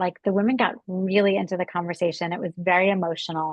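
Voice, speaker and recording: A woman's unremarkable speaking voice, medium in pitch, at a fairly quick pace. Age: 60s. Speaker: beauty brand founder. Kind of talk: podcast interview. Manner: casual, filler-heavy.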